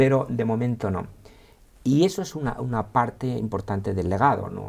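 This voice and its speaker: A man speaks in an Aragonese accent with a dark, mellow, somewhat breathy tone. His pace is moderate and his pitch varies in an ordinary way. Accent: Aragonese (maño) accent, kept. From Spain, Aragon (Villafranca de Ebro). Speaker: historian and university teacher. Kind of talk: interview. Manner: hesitant, many fillers and repetitions.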